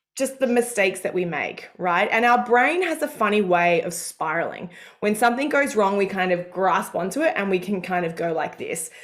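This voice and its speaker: With an Australian accent, a woman talks at a moderate pace and medium pitch, her intonation lively and her speech having hardly any pauses. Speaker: career coach. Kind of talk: live coaching call. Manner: animated.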